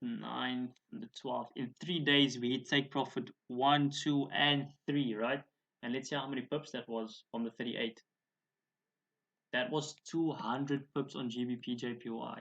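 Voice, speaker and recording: A man speaks in a plain, everyday voice at a medium pitch. His pace is fairly slow and his intonation fairly even. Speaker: forex trading educator. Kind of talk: tutorial.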